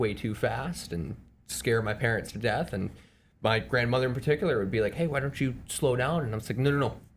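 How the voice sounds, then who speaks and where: Somewhat breathy, a man with an American accent speaks at a medium pitch with lively intonation. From Chicago area, Evanston. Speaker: amateur bike racer. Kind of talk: casual podcast chat. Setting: studio podcast on camera.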